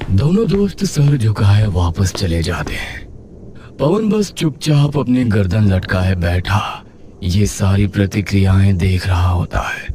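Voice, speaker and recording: Using a put-on character voice, a man speaks fairly slowly at a fairly low pitch amid clear background noise. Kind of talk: horror narration. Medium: read story.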